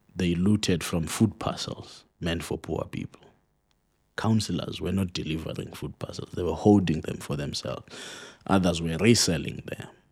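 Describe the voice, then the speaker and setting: A man talks at a moderate pace with a very deep, low pitch and ordinary pitch variation. The recording is very clean, with a silent background. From South Africa, Eastern Cape (Mpondo area). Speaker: political analyst. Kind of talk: interview.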